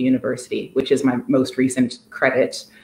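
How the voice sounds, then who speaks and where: A woman with an American accent at a moderate pace, fairly even intonation, and audible room echo. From US, Washington D.C. area. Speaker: art curator. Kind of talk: conversational interview. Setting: empty apartment, video call. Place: home room. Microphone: video call.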